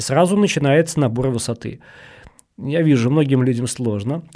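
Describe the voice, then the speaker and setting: Here a man speaks in a medium pitch with a dark, mellow tone. His pace is fairly quick and his pitch varies in an ordinary way. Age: 40s. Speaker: hiking and rafting guide. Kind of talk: casual chat.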